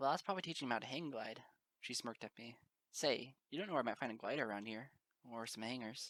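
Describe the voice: Quiet surroundings and plain reading aloud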